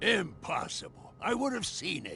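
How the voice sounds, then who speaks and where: A raspy, put-on character voice moves at a moderate pace over clear background noise. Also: man. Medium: video game. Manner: gruff, guarded.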